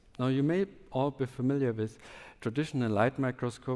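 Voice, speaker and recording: A man with a German accent at a moderate pace, fairly even intonation, in a very clean recording with a silent background. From southwest Germany. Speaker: startup founder and scientist. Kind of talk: conference talk. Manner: halting.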